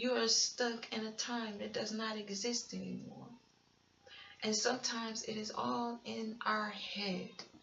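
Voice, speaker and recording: A woman with a fairly high voice speaks at a very slow pace. Noticeable background noise and audible room echo fill the recording. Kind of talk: sermon-style testimony. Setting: home recording at night.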